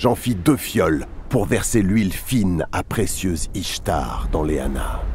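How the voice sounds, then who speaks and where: A man's solemn, dramatic delivery, fairly slow with very wide pitch swings, over noticeable background noise. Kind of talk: epic mythic narration, dramatized reading in character. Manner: solemn, measured, dramatic storytelling tone.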